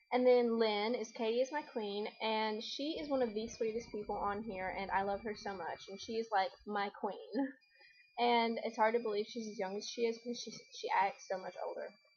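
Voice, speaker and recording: This woman's fairly high voice moves at a moderate pace. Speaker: video blogger. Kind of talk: casual chat. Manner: animated.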